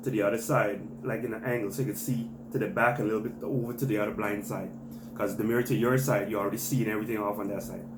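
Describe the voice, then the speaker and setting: Room echo is audible around a man's voice. Noticeable background noise sits beneath it. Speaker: vlogger, parent giving driving advice. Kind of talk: tutorial. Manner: fast; hesitant, many fillers.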